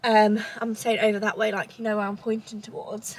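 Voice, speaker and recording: A woman with a fairly high voice speaks with a southern English accent. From southern England, Cambridgeshire. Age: 20s. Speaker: lifestyle vlogger. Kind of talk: casual chat. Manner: rambling conversational.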